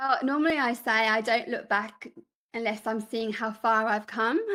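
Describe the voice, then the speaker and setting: With a Birmingham accent, a woman speaks in a bright, sharp tone and fairly even intonation. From England, Birmingham. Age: 40s. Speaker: podcaster and filmmaker. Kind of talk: interview.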